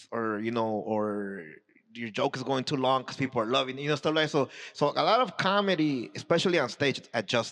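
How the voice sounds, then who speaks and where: A man's medium-pitched voice with lively intonation, at a fairly quick pace. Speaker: comedian. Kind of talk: casual chat. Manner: fast; halting.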